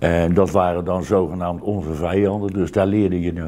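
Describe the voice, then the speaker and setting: Very deep and low, a man's dark, mellow voice moves at a fairly slow pace. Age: 70s. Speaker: retired air force serviceman; interviewee. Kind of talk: interview. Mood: reflective, warm. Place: home room.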